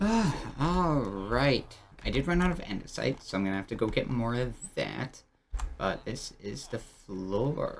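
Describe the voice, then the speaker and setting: A man speaks softly. His pace is fairly slow. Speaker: gaming YouTuber. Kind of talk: gameplay commentary. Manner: soft-spoken; casual, halting.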